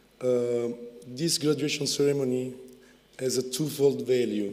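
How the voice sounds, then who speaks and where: Speaking at a fairly slow pace, a man with a medium-pitched voice is heard with audible room echo. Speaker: university research director. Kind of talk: ceremony speech. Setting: graduation ceremony. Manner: halting, many fillers.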